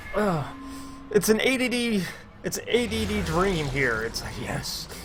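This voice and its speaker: Someone with an American accent speaks at a fairly slow pace, with audible room echo and music in the background. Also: man. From USA. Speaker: gaming streamer. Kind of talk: live stream gameplay commentary. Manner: animated.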